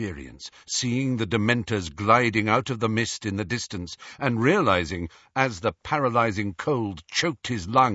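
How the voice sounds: This is a natural reading voice. It reads the words through.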